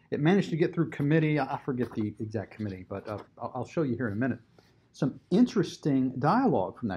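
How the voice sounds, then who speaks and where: A very fast pace, very wide pitch swings, and a somewhat breathy, dark, mellow tone. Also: man, medium pitch for a man. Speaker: advocacy group commentator. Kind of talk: video commentary on a bill, with clips.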